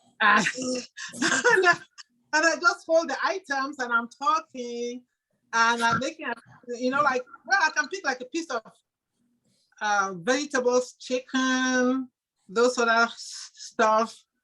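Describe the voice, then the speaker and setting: A woman uses a raised, projected voice, high in pitch and bright and sharp in tone, speaking at a fairly slow pace with long, frequent pauses. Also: ordinary pitch variation. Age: 60s. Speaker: audience member. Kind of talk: casual chat. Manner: halting.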